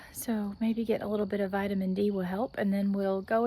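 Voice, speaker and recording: A dark, mellow tone at a fairly quick pace. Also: woman. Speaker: homesteading vlogger. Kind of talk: casual vlog talk. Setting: outdoors. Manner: casual, hesitant with fillers.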